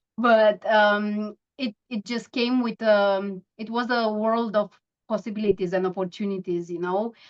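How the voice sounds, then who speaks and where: A woman with a Romanian accent speaks at a fairly slow pace. Her intonation is monotone and flat. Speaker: mindfulness coach. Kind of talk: interview. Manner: halting.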